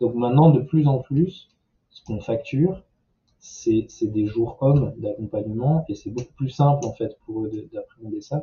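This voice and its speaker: Somewhat breathy, this man's voice sits at a medium pitch with ordinary pitch variation. His loudness shifts in big swings. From southern France. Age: 30s. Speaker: social entrepreneur. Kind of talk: interview. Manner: hesitant with fillers.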